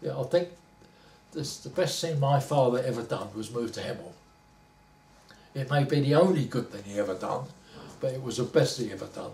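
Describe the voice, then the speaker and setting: A man speaks in a Cockney accent with ordinary pitch variation. His delivery has long, frequent pauses and big swings in loudness. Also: medium pitch for a man, fairly quick pace. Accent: Cockney London English. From London. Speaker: retired factory worker. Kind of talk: oral history interview.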